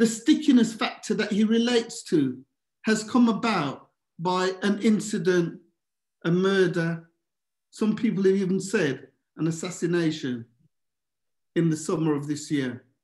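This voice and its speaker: A man speaks slowly-ish, with long, frequent pauses and lively intonation at a high pitch. The background is quiet, with audible room echo. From Birmingham, England. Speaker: governance expert and presenter; presenter. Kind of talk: presentation. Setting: video call. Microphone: webcam.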